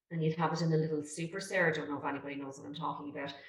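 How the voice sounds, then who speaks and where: A woman with a Dublin accent speaks in a very deep, low pitch, her intonation fairly even. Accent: Irish, Dublin. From Ireland. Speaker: real estate agent. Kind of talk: interview answer.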